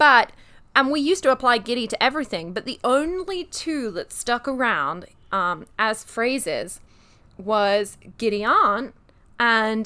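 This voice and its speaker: With a British accent, a woman speaks fairly slowly in a high, bright, sharp voice that swings very widely in pitch. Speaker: podcast co-host. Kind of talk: casual chat.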